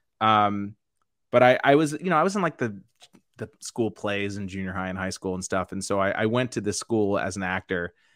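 An unremarkable speaking voice moves at a fairly quick pace with ordinary pitch variation, the sound dry and close with no echo. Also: man, fairly low pitch for a man. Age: 40s. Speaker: comedian. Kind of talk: casual chat.

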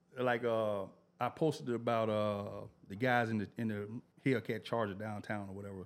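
Speaking with an American accent, a man of fairly low pitch keeps a moderate pace and fairly even intonation in an unremarkable speaking voice. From Memphis, Tennessee area (US South). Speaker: Instagram media page creator, former electrician. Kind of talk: casual interview chat.

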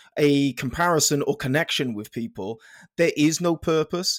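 Speaking with a South Welsh accent, a man uses lively intonation and a fairly high pitch, recorded very cleanly against a silent background. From South Wales (Penarth). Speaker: podcast host, fitness company founder. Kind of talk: interview.

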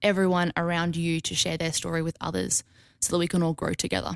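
A woman speaks with an Australian accent at a fairly low pitch. The recording is dry and close, with no echo. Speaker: guest co-presenter. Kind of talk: casual interview chat.

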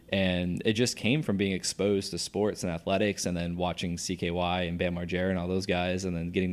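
A man with an American accent speaks very fast in a very deep, low voice, his intonation monotone and flat, on a very clean recording with a silent background. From US Northeast. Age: 30s. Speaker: former pro BMX athlete. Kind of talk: casual chat. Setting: studio.

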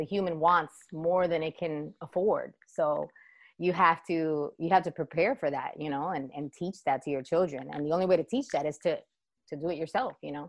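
A woman speaks at a moderate pace in an ordinary speaking voice, fairly low in pitch, with ordinary pitch variation. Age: 30s. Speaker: dance business owner. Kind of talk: interview.

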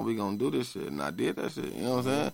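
This man speaks at a medium pitch on a very clean recording with a silent background. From grew up in Hillside projects neighborhood. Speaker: barber. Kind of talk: casual interview.

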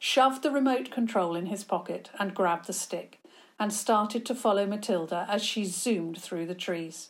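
Just a natural reading voice

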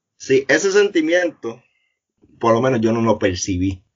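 Medium-pitched man in a normal speaking voice at a moderate pace. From Puerto Rico, north (Arecibo area). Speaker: former homicide detective. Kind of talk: interview.

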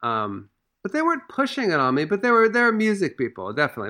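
With an American accent, a man talks at a very fast pace in a bright, sharp tone. His pitch swings very widely. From Washington DC. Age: 40s. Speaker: musician. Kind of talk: casual chat.

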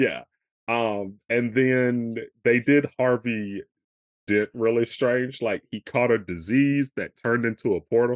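A man's ordinary speaking voice at medium pitch, fairly slow and fairly even in intonation, with a dry, close sound and no echo. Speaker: comic enthusiast co-host. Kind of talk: casual chat about a film.

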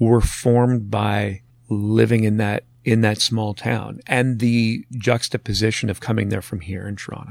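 The speaker uses a monotone, flat intonation at a moderate pace in a Canadian accent. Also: man, fairly low pitch for a man. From northern Ontario, Canada. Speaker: radio executive and author. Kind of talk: casual interview.

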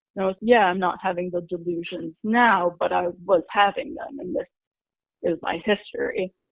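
A woman with an unremarkable speaking voice talks at a moderate pace in a medium pitch, her intonation lively. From US Northeast, New York City suburbs and Connecticut. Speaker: mental health interviewee. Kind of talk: interview testimony.

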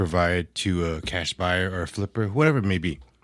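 On a very clean recording with a silent background, a man with a Californian accent speaks at a very deep, low pitch. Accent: Californian American. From California, San Jose Bay Area. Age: 40s. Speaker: former IT service desk manager. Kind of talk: casual chat.

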